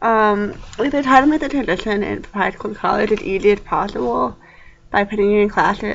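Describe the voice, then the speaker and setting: Speaking at a moderate pace, a woman with a medium pitch shows vocal fry. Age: young. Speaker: college student vlogger. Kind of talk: casual vlog monologue. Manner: hesitant, many fillers.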